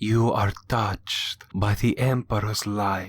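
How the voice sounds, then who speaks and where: Using a put-on character voice, a man talks in a monotone, flat delivery at a fairly low pitch. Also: very clean recording, silent background. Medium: read story. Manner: fervent, believing.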